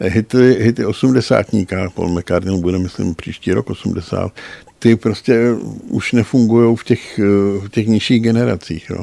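Speaking at a moderate pace, a man has a dark, mellow tone and fairly even intonation. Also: dry, close sound with no echo. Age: old. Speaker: music journalist. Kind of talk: casual chat. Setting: studio.

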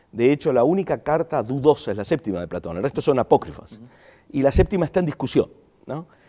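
A man's very fast speech with an Argentine accent, fairly high pitch, very wide pitch swings, vocal fry, and a dark, mellow tone. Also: dry, close sound with no echo. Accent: Argentine accent, still noticeable. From Argentina. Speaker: philosophy professor. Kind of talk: interview conversation. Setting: in person in a studio.

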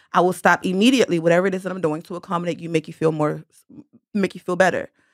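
A woman speaks at a medium pitch, recorded with a dry, close sound and no echo. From Baltimore. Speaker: masseuse and entrepreneur. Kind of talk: casual chat.

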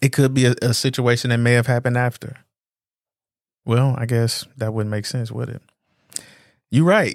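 At a moderate pace and medium pitch, a man speaks with fairly even intonation and long, frequent pauses. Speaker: podcast co-host. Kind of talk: casual chat.

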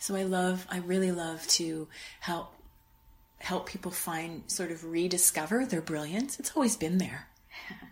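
With a Canadian accent, a woman uses an ordinary speaking voice at a fairly low pitch, with ordinary pitch variation and a fairly slow pace. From Canada, Winnipeg. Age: 50s. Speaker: wellness coach. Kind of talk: interview.

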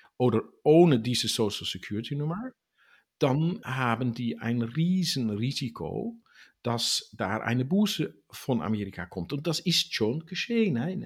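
In a Dutch accent, a man speaks at a fairly slow pace in a somewhat breathy voice with very wide pitch swings. The recording is very clean, with a silent background. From Netherlands. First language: Dutch (speaking German). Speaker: tax expert on US citizens abroad. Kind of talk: interview. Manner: halting.

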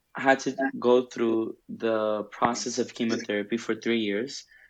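A man has a normal speaking voice at medium pitch. He talks at a fairly slow pace with fairly even intonation. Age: 20s. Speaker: pastor's kid sharing testimony. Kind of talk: testimony.

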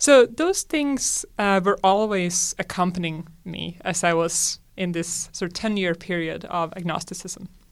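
A woman with a Swedish accent, fairly low-pitched and fairly slow, with hardly any pauses, on a very clean recording with a silent background. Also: ordinary pitch variation. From Sweden. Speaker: astronomy professor. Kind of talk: interview.

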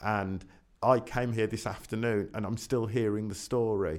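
A man talks at a moderate pace in a very clean recording against a silent background. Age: 50s. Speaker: photographer. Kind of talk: casual interview. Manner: animated.

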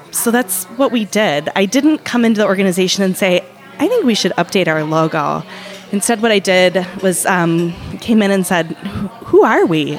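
The speaker keeps a moderate pace, ordinary pitch variation and very even loudness. Noticeable background noise sits behind the voice. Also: woman, medium pitch for a woman. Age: 30s. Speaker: marketing executive. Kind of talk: casual interview. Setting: bakery café.

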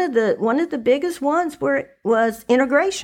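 With an American accent, a woman speaks in very wide pitch swings. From Dayton, Ohio. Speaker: former politician. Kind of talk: casual interview.

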